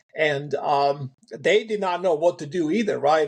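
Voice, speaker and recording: A man is speaking. He has a European accent. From Eastern Europe, ex-socialist country. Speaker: farmer. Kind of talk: interview storytelling. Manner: halting, many fillers and repeats.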